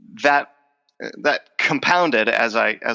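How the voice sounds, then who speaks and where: Dry and close with no echo, a man's voice has a bright, sharp tone, vocal fry and ordinary pitch variation. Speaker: professor of speech. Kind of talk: interview. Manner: halting, with repetitions.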